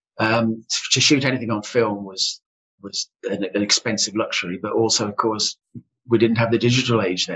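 The speech has a flat, monotone intonation at a moderate pace. Music plays in the background. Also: man, medium pitch for a man. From West Midlands, Solihull. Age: old. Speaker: public speaking club president. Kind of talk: casual interview chat.

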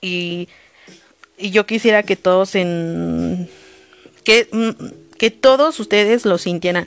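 Very slowly and with long, frequent pauses, a woman speaks in a dry, close sound with no echo. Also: medium pitch for a woman, ordinary pitch variation. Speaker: podcast host. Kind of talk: solo podcast monologue. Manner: occasional stammering.

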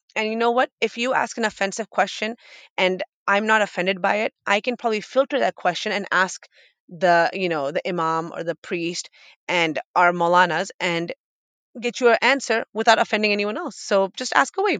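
A woman with an American accent and an unremarkable speaking voice talks at a medium pitch and moderate pace with lively intonation, the sound dry and close with no echo over a quiet background. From Boston area, Massachusetts. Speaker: radio host and podcaster. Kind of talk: interview conversation.

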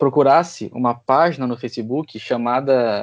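A plain, everyday voice from a man, medium pitch, moderate pace, and ordinary pitch variation. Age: 20s. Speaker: podcast host and historian. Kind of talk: casual political discussion.

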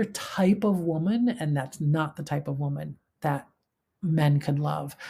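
A woman with a very deep, low pitch speaks somewhat breathily at a fairly slow pace, her intonation lively. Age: 50s. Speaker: podcast host. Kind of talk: solo podcast monologue. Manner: halting.

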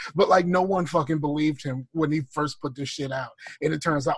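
At a fairly quick pace, a man talks in a fairly high, somewhat breathy voice. His loudness swings widely while his intonation stays fairly even. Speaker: podcast co-host. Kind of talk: casual chat.

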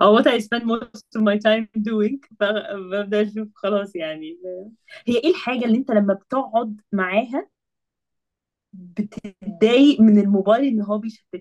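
An unremarkable speaking voice, with ordinary pitch variation at a moderate pace. The sound is dry and close, with no echo. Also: woman, fairly high pitch for a woman. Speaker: engineering master's student. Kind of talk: casual podcast conversation.

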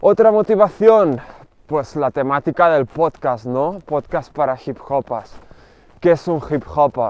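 The pace is very slow. A man speaks at a fairly high pitch. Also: lively intonation, dry, close sound with no echo. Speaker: podcast host and rapper. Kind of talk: solo podcast monologue. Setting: outdoors, walking.

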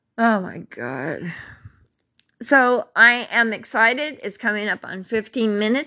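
A woman with a bright, sharp tone speaks fairly slowly with ordinary pitch variation over a quiet background. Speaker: podcast host telling her life story. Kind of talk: personal testimony monologue. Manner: informal and unscripted; laughs often.

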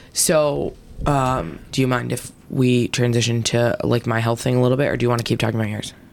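A woman talks at a fairly quick pace in a very deep, low pitch. Noticeable background noise is present. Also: ordinary pitch variation. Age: 30s. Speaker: podcast co-host. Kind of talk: casual chat.

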